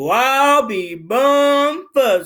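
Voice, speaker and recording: A put-on character voice is delivered at a high pitch. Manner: growling.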